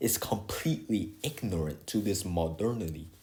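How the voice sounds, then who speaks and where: A man speaks in a non-native accent at a fairly slow pace and fairly low pitch. His voice is somewhat breathy, with lively intonation. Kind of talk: casual video essay talk. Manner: hesitant, rambling.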